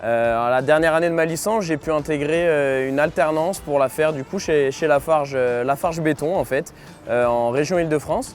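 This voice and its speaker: A man's fairly high voice with ordinary pitch variation, at a fairly quick pace. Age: 20s. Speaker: mechanical engineer. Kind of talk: corporate testimony interview. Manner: hesitant, many filler sounds.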